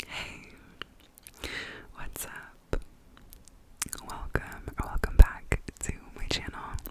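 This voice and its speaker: Whispering at a very slow pace, the speaker keeps a relaxed tone and leaves long, frequent pauses. Noticeable background noise sits behind the voice. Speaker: ASMR creator and book reviewer. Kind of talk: casual reading wrap-up talk to camera. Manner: soft-spoken, relaxed.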